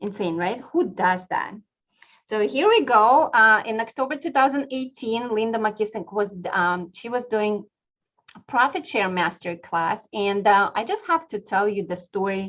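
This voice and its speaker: Speaking at a fairly slow pace with a non-native accent, a woman uses a fairly high pitch and lively intonation. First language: not English. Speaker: real estate team leader and class instructor. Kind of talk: webinar class presentation.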